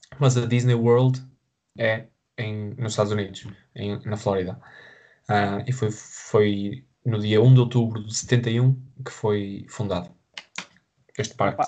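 Very slow and somewhat breathy, a man at medium pitch speaks in a dark, mellow tone, leaving long, frequent pauses. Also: fairly even intonation. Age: 20s. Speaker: podcast co-host. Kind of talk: casual chat.

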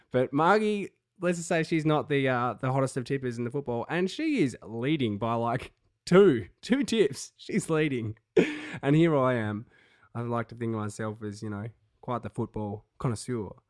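At a moderate pace, a man speaks with lively intonation and a medium pitch on a very clean recording with a silent background. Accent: Australian. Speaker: sports podcast co-host. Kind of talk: casual chat. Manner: animated.

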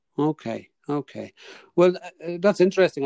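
In an Irish accent, a man with a dark, mellow tone speaks at a moderate pace with ordinary pitch variation, the sound dry and close with no echo. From Ireland. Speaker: podcast host. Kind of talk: interview on podcast. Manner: hesitant, sensitive tone, many fillers.

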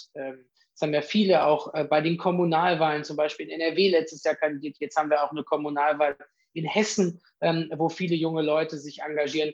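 The man has a normal speaking voice with a fairly high pitch and fairly even intonation. He talks at a moderate pace against a quiet background. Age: 30s. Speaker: politician, youth organisation leader. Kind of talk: interview.

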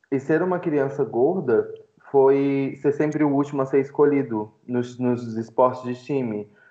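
Using an ordinary speaking voice, a man talks at a fairly slow pace with fairly even intonation. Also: fairly high pitch for a man. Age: 20s. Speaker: student and fat-acceptance activist. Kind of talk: casual podcast interview.

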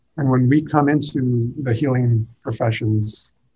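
Somewhat breathy, a man's medium-pitched voice carries a dark, mellow tone with ordinary pitch variation. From US (moved from Iran at age six). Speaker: dental school dean. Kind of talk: interview. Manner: halting, with frequent repetitions.

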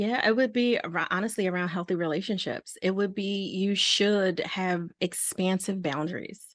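Against a quiet background, a woman talks at a moderate pace with hardly any pauses. She has an ordinary speaking voice, medium in pitch with ordinary pitch variation. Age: 40s. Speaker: relationship and balance coach. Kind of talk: interview.

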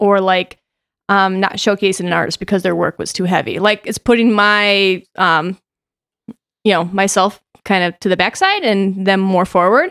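In an American accent, a woman with an unremarkable speaking voice talks at medium pitch and a moderate pace, on a very clean recording with a silent background and a dry, close sound with no echo. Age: 30s. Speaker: artistic director. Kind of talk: casual chat.

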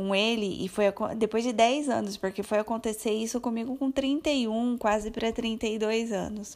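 A woman's fairly high pitch in an ordinary speaking voice, at a fairly slow pace with hardly any pauses and fairly even intonation. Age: 30s. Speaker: podcaster. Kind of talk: personal storytelling monologue. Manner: casual, chatty.

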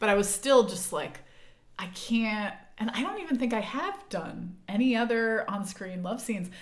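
A woman's somewhat breathy, fairly high voice at a moderate pace, with ordinary pitch variation and audible room echo. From Texas. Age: 30s. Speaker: podcast host. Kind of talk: casual chat.

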